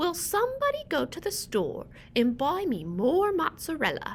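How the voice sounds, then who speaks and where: A woman puts on a character voice pitched extremely high. She talks at a moderate pace over clear background noise. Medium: read story. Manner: polite, patient.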